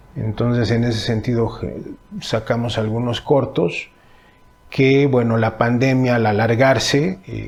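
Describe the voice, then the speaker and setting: Noticeable background noise is present throughout. The words come out at a very slow pace. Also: man, medium pitch for a man, fairly even intonation. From Mexico, Temixco (Morelos). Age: 40s. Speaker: stage artist and cultural manager. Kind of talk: interview answers. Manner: halting, many fillers.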